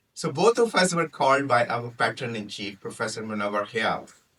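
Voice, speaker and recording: Bright and sharp in tone, a man with a Punjabi accent talks at a moderate pace with very wide pitch swings. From Pakistan. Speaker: toastmaster speaker, physician. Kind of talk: prepared humorous speech.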